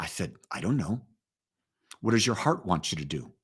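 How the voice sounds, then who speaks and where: A man speaks at a medium pitch with vocal fry. His pitch swings very widely. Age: 70s. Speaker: pastor. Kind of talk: live-streamed spiritual talk. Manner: conversational.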